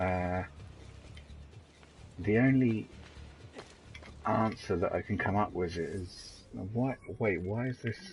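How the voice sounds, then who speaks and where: Very slowly and with long, frequent pauses, a man with a British accent speaks at a fairly low pitch. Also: ordinary pitch variation. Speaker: gaming streamer. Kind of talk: live game commentary. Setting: live stream. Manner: halting, many fillers.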